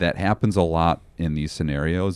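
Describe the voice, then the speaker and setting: A man speaks at a fairly slow pace with a very deep, low pitch and fairly even intonation. The sound is dry and close with no echo, over a quiet background. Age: 40s. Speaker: pastor. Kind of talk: casual chat.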